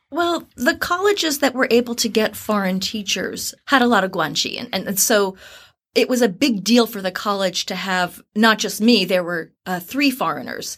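A woman's plain, everyday voice with an American accent, fairly high in pitch, lively in intonation, and moderate in pace, on a very clean recording with a silent background. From New Jersey, US. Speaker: university recruiter. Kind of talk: interview conversation.

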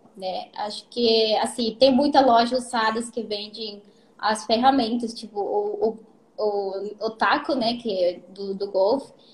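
A woman speaks with a Spanish accent at a fairly slow pace. Her high pitch shows ordinary variation. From Peru. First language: Spanish (speaking Portuguese). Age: 20s. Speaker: golf caddie. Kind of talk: casual live-stream interview. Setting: Instagram live stream.

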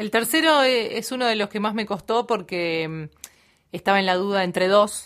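A woman speaks in a normal speaking voice at medium pitch, with ordinary pitch variation and a moderate pace. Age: 30s. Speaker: radio announcer. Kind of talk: casual chat.

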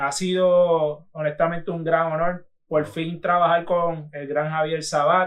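With monotone, flat intonation, a man speaks at a fairly slow pace in a high pitch. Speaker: podcast host. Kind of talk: casual chat. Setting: studio.

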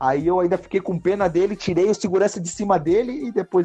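A man with a high-pitched voice and a dark, mellow tone speaks very fast, his pitch varying in an ordinary way. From southern Brazil, Joinville, Santa Catarina. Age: 20s. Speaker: MMA fighter. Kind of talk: casual interview chat.

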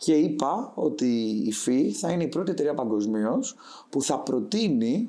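Over a very clean recording with a silent background, a man speaks fairly slowly with vocal fry and very wide pitch swings. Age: 20s. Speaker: startup founder. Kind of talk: interview.

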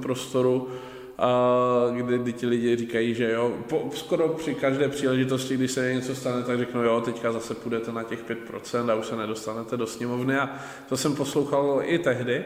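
Man at medium pitch and moderate pace, with audible room echo and noticeable background noise. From Czechia, Ostrava. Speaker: local politician. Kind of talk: casual interview. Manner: hesitant, with fillers and repetitions.

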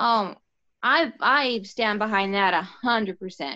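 A woman's voice with vocal fry. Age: 30s. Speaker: podcast guest. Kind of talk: casual chat.

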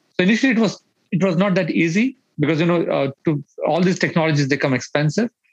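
A man with an Indian accent talks at a very fast pace in a high pitch, with ordinary pitch variation. His loudness stays very even, and the sound is dry and close with no echo. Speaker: startup founder and CEO. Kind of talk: casual interview chat.

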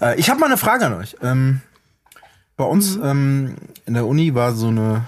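This man's somewhat breathy voice carries along at a moderate pace. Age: 40s. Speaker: rapper and music producer. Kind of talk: casual chat.

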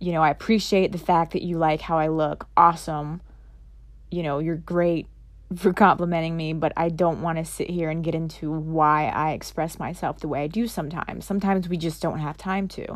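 At a fairly quick pace, a woman talks in a normal speaking voice with a fairly low pitch and fairly even intonation, in a very clean recording with a silent background. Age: 30s. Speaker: podcast host. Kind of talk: solo monologue. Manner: casual, with filler words.

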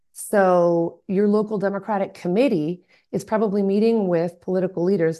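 Against a quiet background, a woman with a dark, mellow tone and medium pitch speaks at a moderate pace, her intonation fairly even and her loudness very even. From US South, Atlanta, Georgia. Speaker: local party committee chair. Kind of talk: interview conversation.

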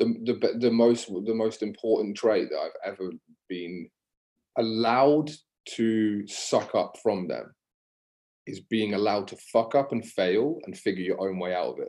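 A man speaks at a fairly slow pace in a dark, mellow tone. His loudness swings widely. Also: medium pitch for a man, ordinary pitch variation. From England, Devon (Exmouth near Exeter). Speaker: fitness business coach. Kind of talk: casual podcast interview.

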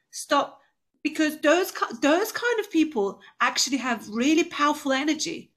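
A woman with a Turkish accent speaks in a passionate tone at a high pitch. Her intonation is lively and her pace moderate. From Turkey. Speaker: entrepreneur, business owner. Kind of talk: interview, motivational talk. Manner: passionate, inspirational.

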